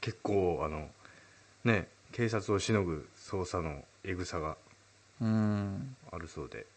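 Very slowly and with long, frequent pauses, a man speaks at a fairly low pitch with ordinary pitch variation. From Urayasu area, Chiba, Japan. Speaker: singer-songwriter and radio host. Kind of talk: casual chat.

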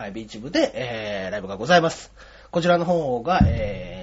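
This man's voice is fairly high. His words come at a very fast pace. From Osaka, later Yokohama. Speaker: comedian. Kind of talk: interview.

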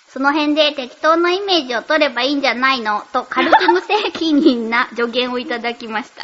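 Over noticeable background noise, a woman speaks at a high pitch and moderate pace with hardly any pauses. Her intonation is lively and her loudness swings widely. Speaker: voice actress and radio host. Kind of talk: casual chat.

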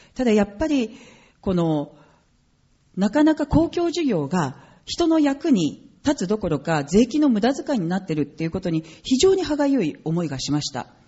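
Her pitch swings very widely as this woman speaks at a moderate pace in a somewhat breathy voice. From Japan. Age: 40s. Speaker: politician. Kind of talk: political speech. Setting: stage with audience.

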